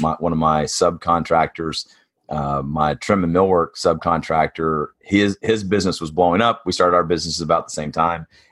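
Very deep and low in pitch, a man with a Tennessee accent speaks at a moderate pace with fairly even intonation and hardly any pauses. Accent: Southern US (Tennessee). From East Tennessee. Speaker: construction business coach. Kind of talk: interview.

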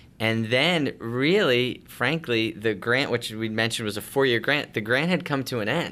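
In an American accent, a bright, sharp voice with ordinary pitch variation moves at a moderate pace on a very clean recording with a silent background. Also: man, medium pitch for a man. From Long Island, New York. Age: 40s. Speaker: homeless shelter director. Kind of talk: interview.

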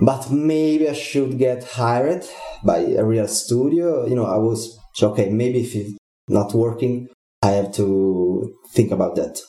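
An Italian accent marks this man's speech at a medium pitch. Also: ordinary pitch variation, fairly slow pace. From Italy. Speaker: game developer. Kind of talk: interview.

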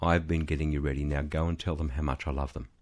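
In a very clean recording with a silent background, a man is speaking. He has an Australian accent. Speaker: ministry CEO and former businessman. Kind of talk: interview testimony. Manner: hesitant with fillers.

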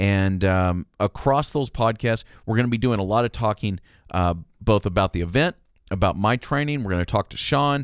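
An ordinary speaking voice comes from a man with fairly low pitch, lively intonation and a moderate pace. The recording is very clean with a silent background and a dry, close sound with no echo. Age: 30s. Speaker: podcast host and producer. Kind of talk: casual chat; scripted promo narration.

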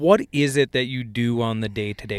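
A man with an American accent and an unremarkable speaking voice talks at medium pitch with ordinary pitch variation, on a very clean, silent-background recording that is dry and close with no echo. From south central Minnesota. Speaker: ag equipment product specialist and podcast host. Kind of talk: casual chat.

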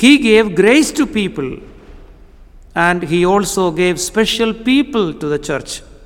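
With a Keralan accent, a man speaks at a high pitch and a fairly slow pace, his intonation lively. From India (Kerala). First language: Malayalam. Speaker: visiting preacher and missionary trainer. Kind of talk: sermon. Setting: church with congregation. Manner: hesitant, many fillers.

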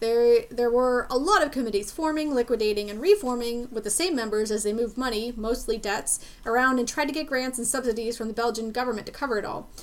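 Over noticeable background noise, a woman with an American accent talks at a very fast pace in a high pitch. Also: ordinary pitch variation, hardly any pauses. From US, Pittsburgh. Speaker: podcast host. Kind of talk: history podcast chat with scripted research reading.

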